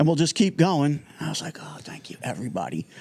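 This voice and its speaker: An animated man talks fairly quickly with an American accent and some vocal fry. His pitch sits fairly high. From New Jersey (Irvington). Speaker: music technology entrepreneur and TV producer. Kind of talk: casual interview chat. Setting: studio. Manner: fast.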